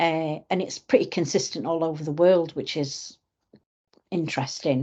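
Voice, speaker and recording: With a northern English accent, a woman speaks at a fairly low pitch and a fairly slow pace. Her pitch variation is ordinary, and the background is quiet. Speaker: suicide prevention campaigner. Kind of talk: podcast interview. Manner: halting, many fillers.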